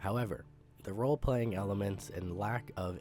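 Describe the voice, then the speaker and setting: Music plays in the background as a man talks at a moderate pace in a very deep, low voice. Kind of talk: gaming commentary narration.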